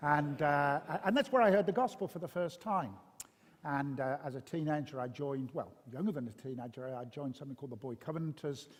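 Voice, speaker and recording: Very fast and fairly high-pitched, a man with a Birmingham accent talks with ordinary pitch variation. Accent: Birmingham (Brummie). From Birmingham, English West Midlands. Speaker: pastor. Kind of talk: interview testimony. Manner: hesitant, many fillers.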